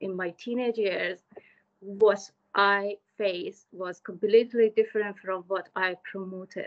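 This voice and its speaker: Someone speaks very slowly in an Iranian accent. The intonation is monotone and flat, and the background is quiet. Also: woman. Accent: Iranian (Persian). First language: Persian. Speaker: community worker and conference speaker; conference speaker. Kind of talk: conference talk. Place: home room. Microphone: video call.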